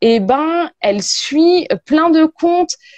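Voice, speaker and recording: A woman speaks with lively intonation. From Paris suburbs, France (Arcueil). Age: 30s. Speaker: tarot reader. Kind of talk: casual chat.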